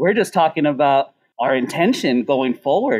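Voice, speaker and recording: A man with an American accent speaks at a moderate pace in an unremarkable speaking voice. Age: 40s. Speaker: chef and restaurant owner. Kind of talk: casual chat.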